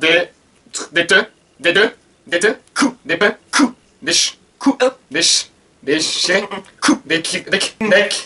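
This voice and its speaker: Very slow, raised and projected speech from a man with a high pitch, lively intonation and long, frequent pauses. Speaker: book blogger. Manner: guessing aloud while listening to music.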